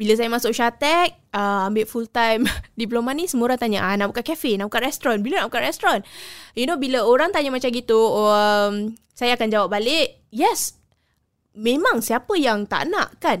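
A woman with an ordinary speaking voice talks at a fairly high pitch and moderate pace with lively intonation. The recording is very clean, with a silent background. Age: 30s. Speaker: culinary graduate. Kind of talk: interview.

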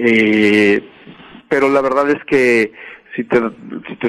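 At a very slow pace, a man talks in a medium pitch with fairly even intonation. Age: 40s. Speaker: music artist manager. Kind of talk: interview.

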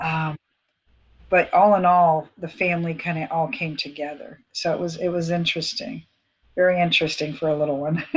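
In a plain, everyday voice, a woman with an American accent talks at a fairly quick pace with fairly even intonation. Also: fairly low pitch for a woman, very clean recording, silent background. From Florida, US. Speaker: former police officer, ministry leader. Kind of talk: testimony.

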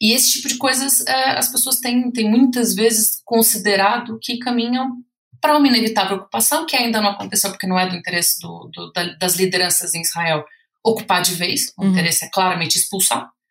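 A woman with a Brazilian accent talks at a fairly quick pace in a fairly high voice. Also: ordinary pitch variation. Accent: Brazilian Portuguese, obvious. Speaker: researcher and author. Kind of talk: podcast interview. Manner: hesitant, many fillers.

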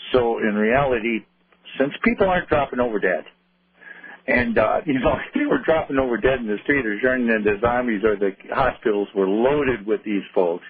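A man's normal speaking voice, medium in pitch with ordinary variation, at a moderate pace and with an American accent. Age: 60s. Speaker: caller. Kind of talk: radio call-in. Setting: phone call.

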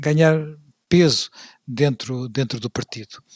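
Speaking at a fairly slow pace, a man with a fairly high pitch and ordinary pitch variation comes through in a dry, close sound with no echo. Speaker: podcast host and moderator. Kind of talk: history discussion. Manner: halting, many fillers and repeats.

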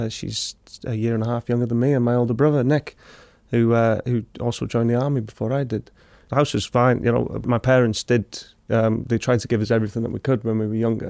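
A man with a North Welsh accent talks very fast in a flat, monotone medium pitch. The sound is dry and close, with no echo. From Wrexham, North Wales. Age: 20s. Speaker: army veteran. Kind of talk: casual chat.

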